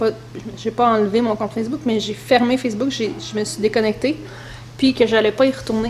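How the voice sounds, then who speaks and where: With noticeable background noise behind her, a woman in a Quebec accent speaks at a fairly quick pace, her pitch fairly high and her intonation fairly even. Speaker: mother vlogger. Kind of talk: casual talk to camera.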